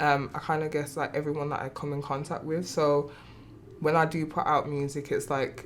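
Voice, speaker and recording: Speaking with a strong Birmingham accent, a woman with a very deep, low pitch talks at a moderate pace in a monotone, flat intonation. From England, Birmingham. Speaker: singer. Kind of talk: casual interview. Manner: informal, filler-heavy.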